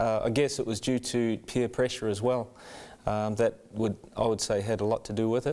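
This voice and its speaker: A man speaks at medium pitch and a moderate pace with a New Zealand accent, his loudness very even. His tone is dark and mellow, and his intonation is monotone and flat. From New Zealand, Rotorua. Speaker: church member sharing conversion story. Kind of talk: testimony. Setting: studio. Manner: halting.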